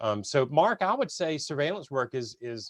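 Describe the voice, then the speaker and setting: Against a quiet background, a man with an ordinary speaking voice talks at a fairly quick pace and medium pitch, with ordinary pitch variation and a dry, close sound with no echo. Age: 50s. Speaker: webinar host. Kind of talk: webinar interview.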